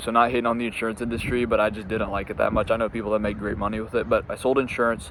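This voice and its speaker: There is noticeable background noise here. A man with an American accent talks at a very fast pace. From US Midwest, Indiana. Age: 20s. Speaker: entrepreneur, business coach. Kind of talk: casual personal story to camera, unscripted. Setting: outdoors in a park, on a bench. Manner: halting, frequent fillers and repeats.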